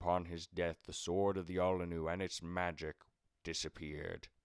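A man's very deep, low voice in a flat monotone at a moderate pace. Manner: commanding.

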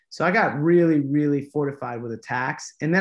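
A man with an American accent talks at a very fast pace. The background is quiet. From Los Angeles, US. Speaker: actor and producer; actor. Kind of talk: casual interview. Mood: animated, storytelling. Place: home room. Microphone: video call.

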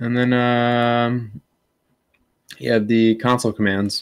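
A man with an American accent speaks at a very slow pace. His intonation is fairly even, and the background is quiet. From US Midwest. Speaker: military service member and drone hobbyist. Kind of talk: casual chat. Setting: video call. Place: home room.

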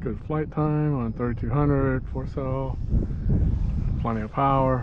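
The pace is fairly slow and the intonation fairly even. A man speaks at medium pitch.

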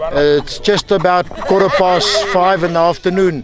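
Against light background noise, a man speaks with a high pitch in a dry recording with no echo. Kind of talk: on-site report to camera. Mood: satisfied, upbeat. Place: open country.

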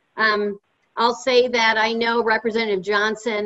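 A woman's monotone, flat delivery at a moderate pace. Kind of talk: panel remarks. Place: home room. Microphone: video call.

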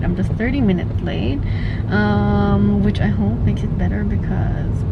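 A woman speaks over loud background noise. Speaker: vlogger. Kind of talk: casual vlog chat. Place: car.

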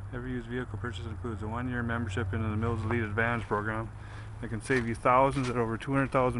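A man speaks at a very fast pace in a monotone, flat intonation. The sound is dry with no echo, though background noise is noticeable. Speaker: car salesperson. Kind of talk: sales walkaround commentary. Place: street. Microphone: phone near.

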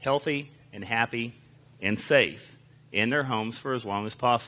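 A man speaks at a moderate pace with a bright, sharp tone and fairly even intonation. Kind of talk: public presentation. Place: hall. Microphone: handheld.

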